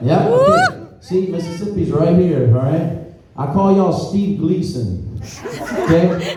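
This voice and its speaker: A man's high-pitched voice at a fairly slow pace, with ordinary pitch variation, noticeable background noise and audible room echo. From Louisiana, Houma, Terrebonne Parish. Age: 40s. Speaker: comedian. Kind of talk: stand-up. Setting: stage with audience. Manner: animated.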